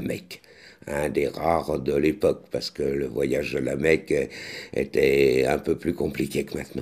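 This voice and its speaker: Fairly slow speech from a man, with a quiet background. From France. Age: 60s. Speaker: actor and vlogger; author-actor chronicler. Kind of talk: vlog commentary; casual vlog chat. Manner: halting, many hesitations. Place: kitchen. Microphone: studio mic.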